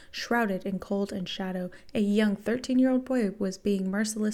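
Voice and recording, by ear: In a natural voice, a passage is read aloud with ordinary pitch variation.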